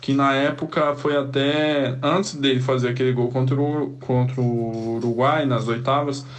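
In a room with audible echo, a man with a medium pitch speaks at a fairly slow pace, his intonation fairly even. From Cuiabá, Brazil. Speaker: samba musician. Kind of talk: recorded voice memo.

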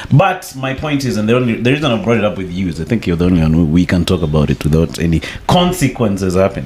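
Speech comes at a very fast pace with hardly any pauses and lively intonation. Noticeable background noise sits under it. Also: man, fairly low pitch for a man. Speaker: podcast host. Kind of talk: casual podcast chat.

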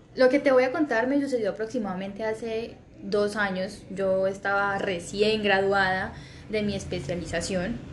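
Ordinary pitch variation at a fairly slow pace, with audible room echo. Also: woman. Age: 20s. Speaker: surgeon. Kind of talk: testimony.

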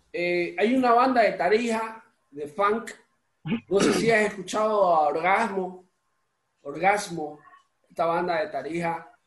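A man talks at a high pitch, leaving long, frequent pauses. Audible room echo surrounds his voice. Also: ordinary pitch variation, fairly slow pace. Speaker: podcast host and musician. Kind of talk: casual interview chat. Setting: home recording.

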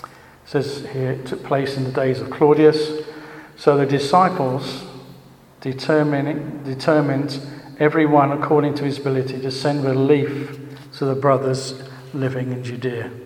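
A man's fairly high, flat, monotone voice amid noticeable background noise and audible room echo. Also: moderate pace. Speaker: church teacher. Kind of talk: sermon. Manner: halting.

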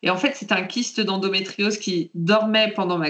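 A woman speaks at a fairly slow pace with medium pitch and ordinary pitch variation. It is an ordinary speaking voice. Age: 30s. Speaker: patient sharing her story, librarian. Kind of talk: testimony.

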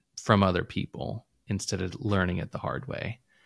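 With a dry, close sound and no echo, a man with an ordinary speaking voice talks at a moderate pace in a fairly low pitch with fairly even intonation. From Illinois, US Midwest. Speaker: entrepreneur, former IT professional. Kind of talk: casual interview chat. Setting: remote call.

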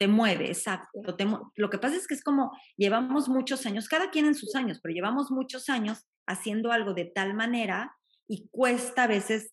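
Speaking at a fairly quick pace, a woman uses lively intonation in a fairly high, somewhat breathy voice. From Mexico. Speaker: life coach. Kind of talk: casual chat.

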